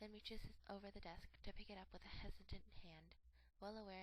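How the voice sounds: What we hear is a natural reading voice.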